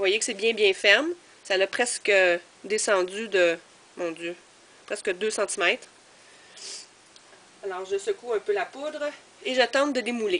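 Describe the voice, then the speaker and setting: A woman with a Quebec accent at a fairly slow pace, with long, frequent pauses. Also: medium pitch for a woman. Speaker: crafter, video blogger. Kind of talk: tutorial. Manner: hesitant, many fillers.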